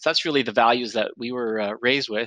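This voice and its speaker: In a Canadian accent, a man at a medium pitch delivers a bright, sharp tone with monotone, flat intonation in a dry, close sound with no echo. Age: 50s. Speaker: grocery retail CEO. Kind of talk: interview. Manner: hesitant with fillers.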